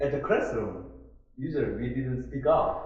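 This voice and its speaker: A man speaks with a Korean accent in a room with audible echo. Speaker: instructor. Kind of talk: online class discussion. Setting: online conference. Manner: halting.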